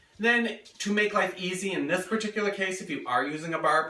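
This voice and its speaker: A man speaks with audible room echo. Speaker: home cook. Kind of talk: cooking tutorial. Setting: home kitchen. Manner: fast; casual, lots of fillers. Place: kitchen. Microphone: camera far.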